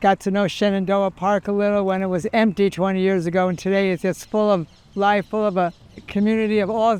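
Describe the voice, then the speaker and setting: Monotone and flat, a man with an American accent speaks at a high pitch for a man. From New York. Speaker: social worker, community resident. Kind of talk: interview testimony.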